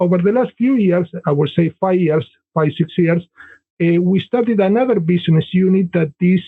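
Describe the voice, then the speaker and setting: A man with an Argentine accent speaks at a high pitch and a moderate pace. His pitch varies in an ordinary way, and his loudness stays very even. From Argentina. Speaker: business consultant and author. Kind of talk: podcast interview.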